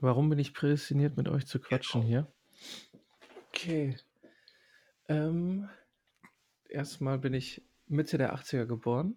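A man with a dark, mellow tone and a somewhat breathy, fairly high pitch speaks very slowly, with ordinary pitch variation. Long pauses come often. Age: 30s. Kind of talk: casual chat.

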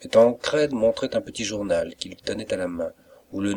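A passage is read aloud in a natural voice.

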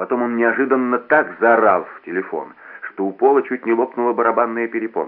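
Fairly even intonation in plain reading aloud

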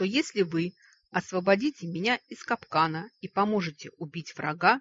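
A natural reading voice shows ordinary pitch variation over a quiet background.

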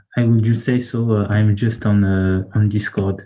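A man with a strong French accent speaks at a fairly slow pace in a medium pitch. His intonation is monotone and flat, and the background is quiet. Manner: halting, searching for English words.

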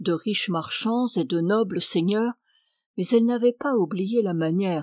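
An unforced reading voice with ordinary pitch variation, against a quiet background.

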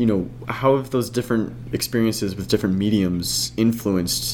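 This man has a normal speaking voice at a fairly low pitch. His pace is moderate and his pitch variation ordinary. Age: young. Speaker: podcast host. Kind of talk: scripted introduction; casual chat.

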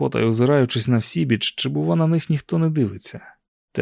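With little noise behind it, the text is read out in a natural voice.

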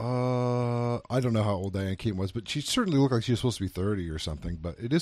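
An unremarkable speaking voice from a man, medium-pitched, with lively intonation, on a very clean recording against a silent background. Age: 30s. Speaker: film review podcast host. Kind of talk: casual chat.

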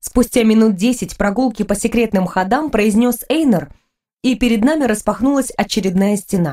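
Against a quiet background, plain reading aloud carries ordinary pitch variation.

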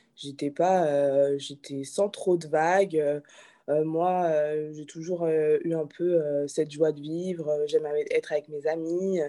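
Very slowly and in a monotone, flat intonation, a woman speaks with a very deep, low pitch and a dark, mellow tone. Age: 20s. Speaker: restaurant owner. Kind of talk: interview. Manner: hesitant, many fillers.

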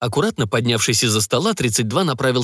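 Reading aloud, the speaker uses a natural voice.

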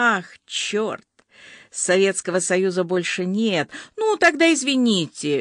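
The reading voice sounds unforced. Nothing much stirs behind it.

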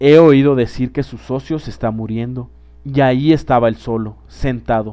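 Someone is reading aloud in a natural voice, and the pitch shows ordinary variation.

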